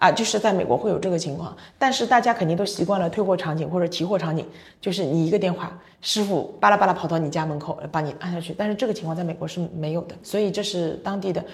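A woman speaks at a very fast pace with an animated tone. Her voice is somewhat breathy. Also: fairly low pitch for a woman, ordinary pitch variation. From China. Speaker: logistics company general manager. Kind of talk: casual interview.

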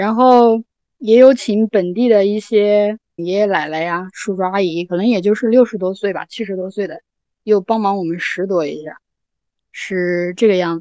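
Recorded with a dry, close sound and no echo, a woman speaks in a dark, mellow tone. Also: medium pitch for a woman, ordinary pitch variation, moderate pace, big swings in loudness. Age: young. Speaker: small farmer living alone in a village. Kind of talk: casual podcast conversation.

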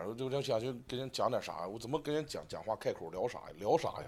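Pitched in the medium range, a man talks with ordinary variation in his pitch. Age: 30s. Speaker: stand-up comedian. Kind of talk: casual chat. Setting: hotel room.

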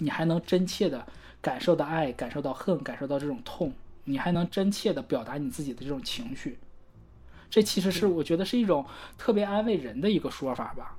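A woman speaks in a fairly low pitch with a dark, mellow tone. Her voice moves in very wide pitch swings. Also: fairly quick pace. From Northeast China. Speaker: podcast co-host. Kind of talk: casual chat about song lyrics.

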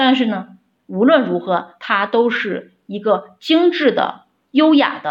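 Against a quiet background, a woman speaks very slowly with lively intonation and vocal fry. Her pitch sits fairly high. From Shaanxi, Xi'an. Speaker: opera fan. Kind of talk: prepared recorded message. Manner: formal.

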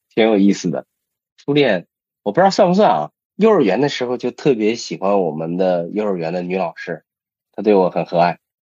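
A man speaks with lively intonation and a fairly low pitch, at a fairly quick pace. His tone is dark and mellow over a quiet background. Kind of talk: casual chat.

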